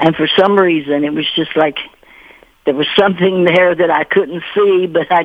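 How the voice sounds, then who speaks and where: At a moderate pace, someone speaks with a Kentucky accent over noticeable background noise. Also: woman. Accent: Southern US (Kentucky). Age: 80s+. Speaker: author and retired teacher. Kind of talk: radio interview.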